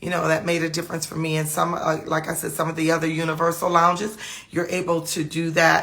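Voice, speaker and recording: With audible room echo, a woman speaks in a very deep, low pitch and a monotone, flat intonation. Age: 50s. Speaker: trichologist. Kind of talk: casual live talk. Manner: halting, many fillers and repetitions.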